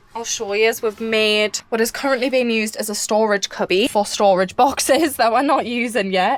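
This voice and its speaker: A woman with a British accent speaks in a high voice over noticeable background noise. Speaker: vlogger doing a van build tour. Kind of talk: casual vlog tour. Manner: fast.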